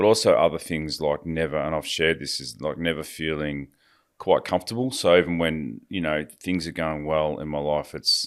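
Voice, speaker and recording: Speaking at a moderate pace with an Australian accent, a man has a very deep, low pitch on a very clean recording with a silent background. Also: ordinary pitch variation. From Australia, rural Victoria. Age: 50s. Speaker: recovering addict. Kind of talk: interview.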